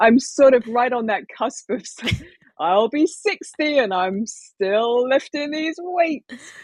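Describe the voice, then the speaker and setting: A woman's high voice with very wide pitch swings at a very slow pace. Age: 50s. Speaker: former stand-up comic and tea business owner. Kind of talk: casual chat.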